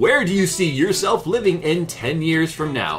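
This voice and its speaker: A put-on character voice speaks in a middle pitch at a moderate pace. Clear music plays in the background. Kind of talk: formal broadcast announcer delivery.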